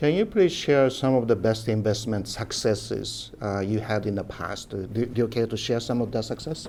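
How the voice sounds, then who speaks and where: A man with a Japanese accent talks at a moderate pace and a medium pitch, with ordinary pitch variation. He leaves hardly any pauses. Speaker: interviewer. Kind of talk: interview.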